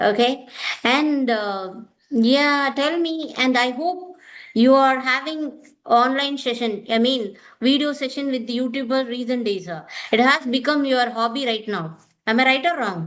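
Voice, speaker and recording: Speaking at a fairly slow pace, a woman with a South Indian accent talks in a high pitch. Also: ordinary pitch variation. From India, Tamil Nadu. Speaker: online English tutor. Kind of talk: casual conversation practice. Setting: video call.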